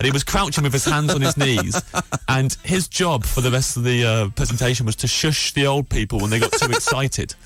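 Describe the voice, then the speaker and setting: Music runs in the background as a man talks at a fairly quick pace in a medium pitch with ordinary variation. His loudness stays very even. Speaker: comedian and radio host. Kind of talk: comic storytelling on a radio show. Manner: halting, many fillers and repeats.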